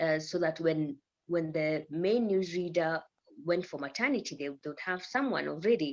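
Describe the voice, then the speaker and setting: With an East African accent, a woman speaks at a moderate pace in a fairly low pitch with ordinary pitch variation. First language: Swahili. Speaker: news presenter. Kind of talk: podcast interview.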